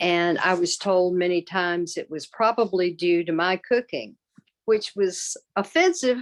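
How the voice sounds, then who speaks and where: A woman with a Southern US accent talks at a fairly slow pace with lively intonation and a medium pitch. The sound is dry and close with no echo, on a very clean recording with a silent background. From US South. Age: 60s. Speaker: patient advocate. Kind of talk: testimony.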